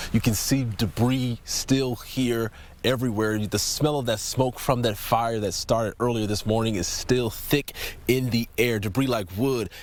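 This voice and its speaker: In a normal speaking voice, a man talks at a fairly slow pace with medium pitch and fairly even intonation. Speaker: TV news reporter. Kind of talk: TV news field report.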